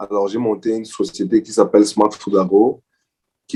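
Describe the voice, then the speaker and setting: Dark and mellow in tone, a man speaks at a moderate pace with a fairly low pitch. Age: 30s. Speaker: agricultural entrepreneur. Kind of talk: interview. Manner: hesitant, many repetitions.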